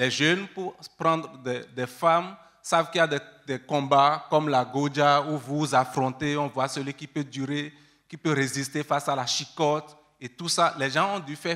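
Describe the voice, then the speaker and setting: Moderately paced, this man's voice sits fairly high. His tone is bright and sharp, with fairly even intonation. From Benin. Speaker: researcher. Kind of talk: panel discussion.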